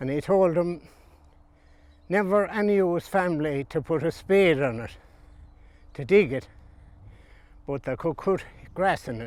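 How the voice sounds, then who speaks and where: A man with a western Irish accent talks at a moderate pace with a high pitch and lively intonation, leaving long, frequent pauses. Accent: rural west of Ireland. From Ireland, County Galway. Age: old. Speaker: retired farmer. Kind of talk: interview storytelling. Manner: halting.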